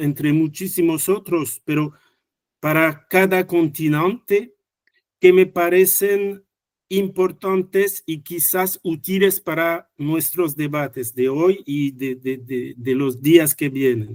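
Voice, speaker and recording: Speaking very slowly, a man with a French accent uses a high pitch. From France. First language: French (speaking Spanish). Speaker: economics researcher. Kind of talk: conference talk. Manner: halting, many fillers and restarts.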